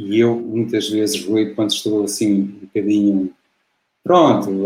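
Pitched fairly low, a man talks at a fairly slow pace with fairly even intonation in a European Portuguese accent. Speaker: football commentator. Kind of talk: casual interview.

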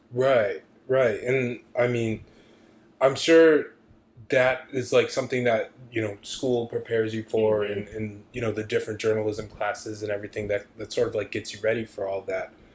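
Somewhat breathy, a man with an American accent speaks at medium pitch and a moderate pace with fairly even intonation. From Syracuse, New York. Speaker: podcast host. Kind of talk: casual chat.

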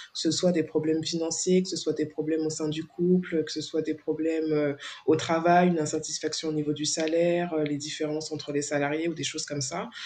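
Noticeable background noise sits behind a woman with a very deep, low pitch. Her intonation is monotone and flat, and her pace is fairly quick. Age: 40s. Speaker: founder of a women's support association. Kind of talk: interview. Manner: hesitant, many fillers.

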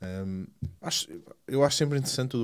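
A man talking at a very fast pace with lively intonation, on a very clean recording with a silent background. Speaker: tech podcast guest. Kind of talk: casual chat.

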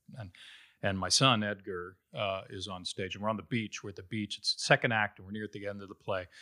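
With a Midwestern accent, a man speaks very fast at a fairly low pitch in a bright, sharp tone, his intonation monotone and flat and his loudness swinging widely, on a very clean recording with a silent background and a dry, close sound with no echo. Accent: General American (Midwest). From Ohio, Cincinnati. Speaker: Broadway actor. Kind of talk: casual interview.

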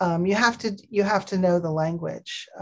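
Somewhat breathy, a woman speaks at a medium pitch and a fairly slow pace. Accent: American. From Pakistan, then Minnesota from age 14. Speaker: cross-cultural trainer and author. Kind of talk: interview.

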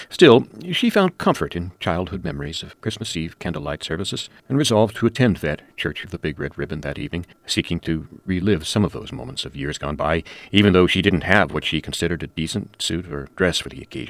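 A man with a very deep, low voice and vocal fry speaks with hardly any pauses. His intonation is lively, with big swings in loudness. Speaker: story contributor. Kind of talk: reading aloud.

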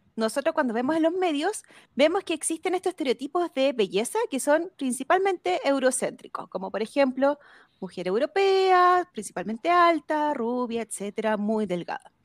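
Recorded very clean with a silent background and a dry, close sound with no echo, the voice moves at a moderate pace through very wide pitch swings. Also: woman, high pitch for a woman. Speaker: psychologist. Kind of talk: interview.

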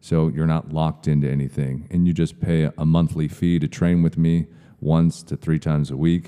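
With an American accent, a man speaks at a moderate pace in a very deep, low pitch and a monotone, flat intonation. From US Pacific Northwest, Seattle area. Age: 30s. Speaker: personal trainer. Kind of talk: casual interview chat. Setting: gym.

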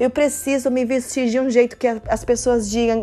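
Moderate pace with ordinary pitch variation. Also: woman. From Cuba. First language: Spanish (speaking Portuguese). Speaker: devotional speaker. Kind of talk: devotional talk.

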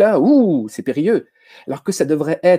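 A man with a high pitch speaks at a fairly quick pace. His pitch swings very widely, with a dark, mellow tone. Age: 40s. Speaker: teacher and educational technology trainer. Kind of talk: casual chat.

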